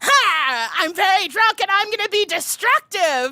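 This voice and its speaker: Using a put-on character voice, a woman talks at a moderate pace in an extremely high pitch. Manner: gleefully destructive.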